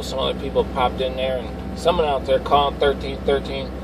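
The man's moderate-paced speech has a dry sound with no echo, though background noise is noticeable. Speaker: CB radio operator. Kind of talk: radio chatter. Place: car.

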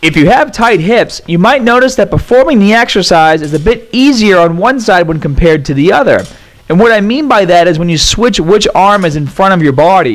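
A man talks with lively intonation, keeping up a fairly quick pace. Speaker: fitness trainer. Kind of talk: tutorial.

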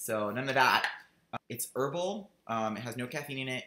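The voice has a bright, sharp tone and ordinary pitch variation at a moderate pace. Audible room echo surrounds it. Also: man. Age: 30s. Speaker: vlogger; video journal blogger. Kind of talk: video diary. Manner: chatty, rambling with fillers. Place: home room. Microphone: webcam.

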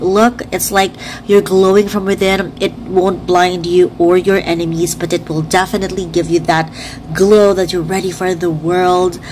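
A woman speaks at a moderate pace with medium pitch and monotone, flat intonation. Noticeable background noise runs underneath. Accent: Filipino. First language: Tagalog. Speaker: beauty vlogger. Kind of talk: makeup review tutorial.

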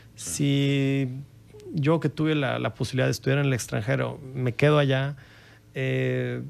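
A man is speaking. His pace is fairly slow. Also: very even loudness. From Coahuila, Mexico. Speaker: filmmaker; guest. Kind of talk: interview. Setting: studio. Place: studio. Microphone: studio mic.

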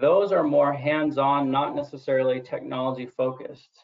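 Fairly even intonation marks a normal speaking voice. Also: man. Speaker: health center executive. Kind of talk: webinar presentation. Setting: online webinar.

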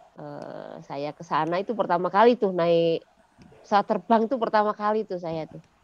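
A woman talks at a medium pitch and a moderate pace, with ordinary pitch variation. Her loudness swings widely, and the sound is dry with no echo. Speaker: school founder and former mining engineer; podcast guest, educator. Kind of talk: interview. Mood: cheerful, smiling. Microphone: headset.

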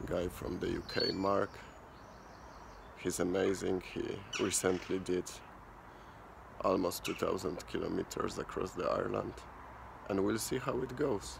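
A man speaks at a fairly slow pace. Noticeable background noise runs under his voice. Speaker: cyclist vlogger. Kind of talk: casual vlog chat. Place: street. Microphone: phone near.

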